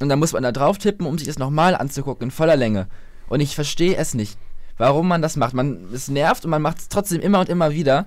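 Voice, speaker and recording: His pace is fairly quick. This man's voice sits fairly high, its pitch varying in an ordinary way. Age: young (18). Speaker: new podcast co-host. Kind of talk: casual chat.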